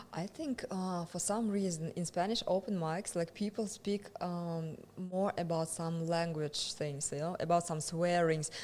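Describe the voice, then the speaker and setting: A woman speaks at a fairly slow pace with a fairly low pitch. Her intonation stays fairly even, and she hardly pauses at all. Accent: Russian. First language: Russian. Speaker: stand-up comedian. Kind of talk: casual chat. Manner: halting.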